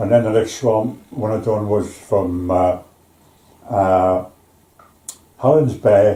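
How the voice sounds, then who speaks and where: Here a man speaks with a Belfast accent at a fairly low pitch. His delivery is very slow, with fairly even intonation. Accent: Belfast Northern Irish. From Northern Ireland, East Belfast. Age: 80s+. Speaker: retired shipyard worker. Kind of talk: interview. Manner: halting.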